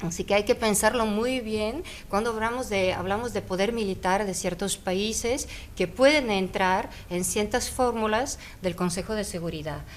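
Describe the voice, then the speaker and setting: A woman at a medium pitch and a moderate pace. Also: ordinary pitch variation. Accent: non-native. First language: not Spanish (speaking Spanish). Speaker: panelist on international affairs. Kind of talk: panel debate. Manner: halting.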